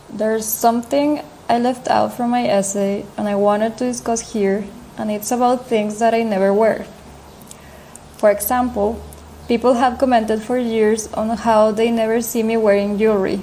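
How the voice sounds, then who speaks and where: Fairly high-pitched woman's speech in a non-native accent, monotone and flat, at a moderate pace over noticeable background noise. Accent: foreign. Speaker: editorial resident of a fashion site. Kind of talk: recorded voice message.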